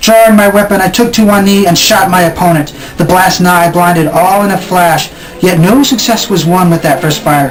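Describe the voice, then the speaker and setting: With music playing in the background, a man speaks at a moderate pace in a high voice with ordinary pitch variation and very even loudness. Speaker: poet. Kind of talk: poetry reading.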